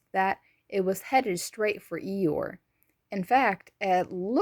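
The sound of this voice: Against quiet surroundings, the voice is an unforced reading voice whose pitch shifts in an ordinary way.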